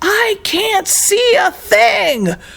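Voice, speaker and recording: A put-on character voice, squeaky and at an extremely high pitch. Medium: read story. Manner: grumbling, exclamatory.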